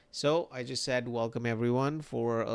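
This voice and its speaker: Quiet and fairly slow, a man speaks at a medium pitch with fairly even intonation. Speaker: 3D artist streamer. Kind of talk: livestream tutorial chat. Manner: quiet late at night.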